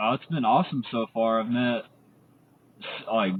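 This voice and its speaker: A man with a Texan accent at a fairly quick pace. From Texas, Amarillo. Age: 20s. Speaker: community member. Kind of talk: casual interview.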